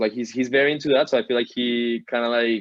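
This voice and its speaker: A man with a Colombian accent talks at a medium pitch. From Colombia, Bogota. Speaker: digital artist. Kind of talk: interview. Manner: casual, filler-heavy.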